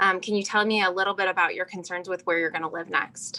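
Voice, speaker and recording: The voice has a bright, sharp tone. It moves along at a fairly quick pace. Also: woman. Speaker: real estate agent. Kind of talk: role-play training. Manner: fast.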